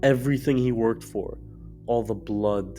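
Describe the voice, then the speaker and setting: A man is speaking. Music plays in the background. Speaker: video essayist. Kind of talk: video essay narration.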